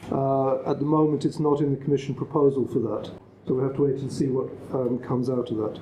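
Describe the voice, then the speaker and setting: The speaker has an unremarkable speaking voice. The pace is fairly quick. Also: man. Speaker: agricultural policy consultant. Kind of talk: conference presentation.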